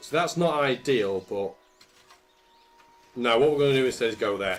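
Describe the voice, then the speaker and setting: Speaking at a moderate pace, a man with a British accent has a medium pitch and lively intonation. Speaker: gaming commentator. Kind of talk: let's play commentary. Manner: casual, conversational.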